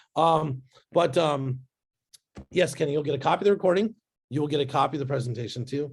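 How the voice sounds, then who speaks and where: This man has a fairly high, somewhat breathy voice with ordinary pitch variation. He talks very fast but leaves long, frequent pauses. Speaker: business growth speaker and author. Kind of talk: webinar presentation. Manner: animated.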